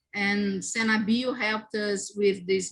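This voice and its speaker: In a non-native accent, a woman speaks at a medium pitch. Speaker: immunology researcher, lab group coordinator. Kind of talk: conference talk; Q&A answer. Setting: virtual symposium. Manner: halting, with self-corrections.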